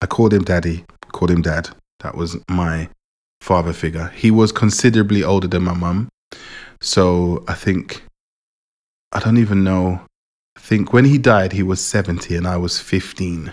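Long, frequent pauses break up the speech of a man with a very deep, low pitch. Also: fairly even intonation, moderate pace, very clean recording, silent background. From England, moved from Jamaica at four. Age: 40s. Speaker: podcast host. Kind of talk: personal monologue. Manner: casual, hesitant with many fillers.

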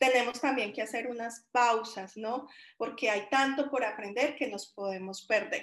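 A fairly slow pace and fairly even intonation in an ordinary speaking voice. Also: woman, fairly high pitch for a woman. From Colombia, Caldas coffee region (Chinchiná). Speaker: software development manager and designer. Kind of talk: interview.

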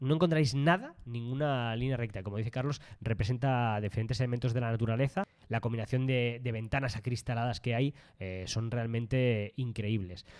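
A man with a medium pitch and ordinary pitch variation speaks at a moderate pace in a very clean recording with a silent background. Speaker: travel podcast co-host. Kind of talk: casual chat.

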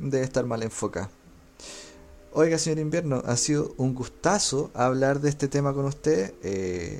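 A man with a Chilean accent at a fairly high pitch and moderate pace, with music in the background. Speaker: gaming podcast host. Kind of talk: casual chat.

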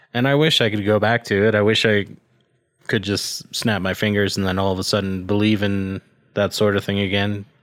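In a normal speaking voice, a man talks at a fairly quick pace and fairly low pitch with fairly even intonation, on a very clean recording with a silent background. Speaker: podcast co-host. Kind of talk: casual chat.

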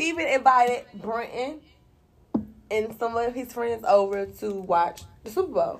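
A woman's fairly high voice with lively intonation, big swings in loudness, a fairly slow pace and long, frequent pauses. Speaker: radio show co-host. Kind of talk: casual chat.

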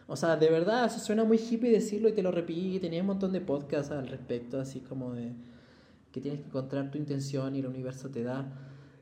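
A man with a fairly high pitch, audible room echo around him. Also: lively intonation, fairly quick pace. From Chile. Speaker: ceramicist. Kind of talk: casual chat.

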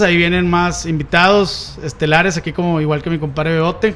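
A man with a Mexican accent talks at a fairly quick pace in a high voice. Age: 30s. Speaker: podcast host. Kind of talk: casual chat. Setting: studio.

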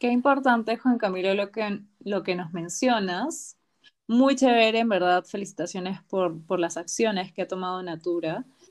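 On a very clean recording with a silent background, a woman speaks in a plain, everyday voice at a moderate pace with ordinary pitch variation. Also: medium pitch for a woman. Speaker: podcast host. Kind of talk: interview.

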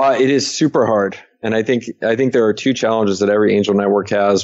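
Fairly low in pitch, a man speaks at a very fast pace with fairly even intonation. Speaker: angel investor. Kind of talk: interview. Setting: remote call.

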